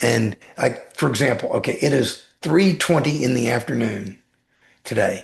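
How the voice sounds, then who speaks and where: A somewhat breathy man with a fairly high pitch speaks at a moderate pace. His pitch swings very widely against a quiet background. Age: 60s. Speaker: weight-loss guest sharing personal transformation. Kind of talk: podcast interview.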